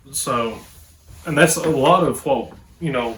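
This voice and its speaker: With an Appalachian accent, a man speaks at a fairly slow pace with ordinary pitch variation. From Appalachia, southwest Virginia. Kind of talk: casual talk to camera.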